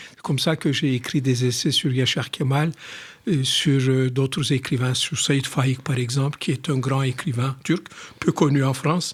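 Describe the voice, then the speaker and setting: A somewhat breathy voice in a Turkish accent, fairly slow, with fairly even intonation and big swings in loudness. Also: man, medium pitch for a man. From Turkey (Istanbul). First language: Turkish (speaking French). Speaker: writer. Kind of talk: radio interview.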